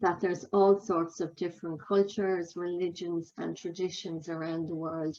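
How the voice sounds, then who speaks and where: A woman with an Irish accent speaks at a medium pitch with ordinary pitch variation. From Ireland. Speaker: healthcare quality consultant. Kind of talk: conference talk.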